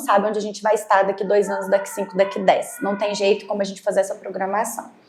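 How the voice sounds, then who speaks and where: A woman with a fairly high voice talks at a very fast pace against noticeable background noise. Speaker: doctor or therapist guest. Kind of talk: podcast interview.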